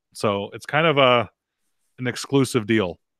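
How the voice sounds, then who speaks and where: In a dry recording with no echo and a quiet background, a man talks with ordinary pitch variation. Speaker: firearms show host and rifle builder; firearms show host. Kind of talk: live video call show chat. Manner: fast. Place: studio. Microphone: studio mic.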